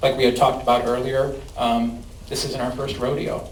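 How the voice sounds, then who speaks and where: A man with a Chicago accent speaks fairly quickly at a medium pitch, with audible room echo and noticeable background noise. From US Midwest, Chicago. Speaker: cannabis company outreach representative. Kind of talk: presentation and audience Q&A. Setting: public meeting with audience.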